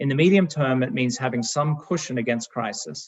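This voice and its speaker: A man's medium-pitched voice with an Australian accent, lively intonation and a fairly quick pace. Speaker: fund manager. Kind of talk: presentation. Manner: formal.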